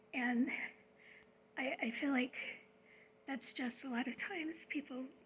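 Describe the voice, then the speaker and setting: This soft-spoken voice moves at a moderate pace. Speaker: spiritual vlogger. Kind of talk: casual monologue. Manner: hesitant, many fillers.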